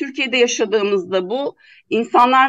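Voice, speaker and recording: High-pitched woman's voice with lively intonation at a moderate pace, in dry, close sound with no echo. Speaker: party co-spokesperson, environmental activist. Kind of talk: radio interview.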